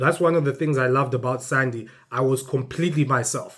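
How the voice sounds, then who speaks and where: At a moderate pace, a man talks with fairly high pitch and ordinary pitch variation. The recording is very clean, with a silent background. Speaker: family vlogger. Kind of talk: direct-to-camera monologue. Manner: loud; halting.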